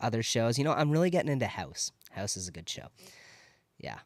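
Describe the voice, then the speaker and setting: In a very clean recording with a silent background and a dry, close sound with no echo, a man speaks at a moderate pace with ordinary pitch variation. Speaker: fitness YouTuber. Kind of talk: casual Q&A monologue. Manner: halting, many fillers and restarts.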